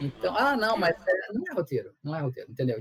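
This man's pitch is high and swings very widely. He talks at a fairly quick pace. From Rio de Janeiro, Brazil. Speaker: comedy screenwriter. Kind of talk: casual chat. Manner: halting.

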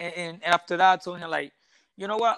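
A high-pitched man with a Puerto Rican accent. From Puerto Rico. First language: Spanish. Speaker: professional boxer. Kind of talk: interview. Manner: halting, with many repeated words.

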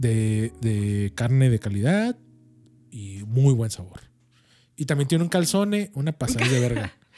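A man at medium pitch has a dark, mellow tone and talks at a fairly slow pace with long, frequent pauses. His pitch swings very widely and his loudness rises and falls sharply. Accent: Mexican. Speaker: podcast co-host. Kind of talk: casual chat.

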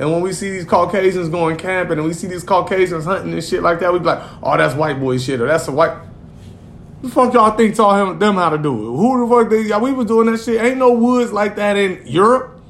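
The speaker has an American accent and an animated tone with lively intonation. The pace is fairly quick, with noticeable background noise. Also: man, high pitch for a man. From Gary, Indiana. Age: 40s. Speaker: podcast co-host. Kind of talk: casual chat.

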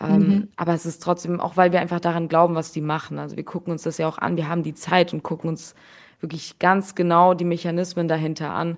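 Very fast and monotone, with flat intonation, a woman speaks at a fairly low pitch. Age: 20s. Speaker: NFT investor and fund co-founder. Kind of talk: casual interview.

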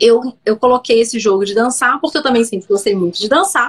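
A woman speaks with a high pitch at a fairly quick pace. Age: 30s. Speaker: digital influencer and entrepreneur. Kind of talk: personal storytelling interview. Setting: live video stream. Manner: hesitant with many repetitions.

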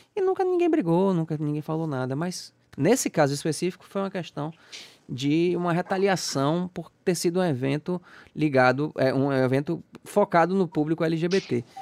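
The man's high-pitched voice moves at a moderate pace with ordinary pitch variation, captured with a dry, close sound with no echo. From Salvador, Bahia, Brazil. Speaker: podcast host. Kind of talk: casual interview chat.

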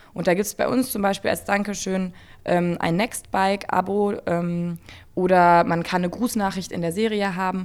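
Against a silent background in a very clean recording, a woman has an unremarkable speaking voice at medium pitch with fairly even intonation. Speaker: web series creator. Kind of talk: radio interview.

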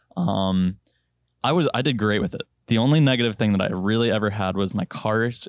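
A man with an American accent, a normal speaking voice, fairly low pitch, lively intonation and a fairly quick pace. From Virginia. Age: 20s. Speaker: airline pilot. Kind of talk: casual chat.

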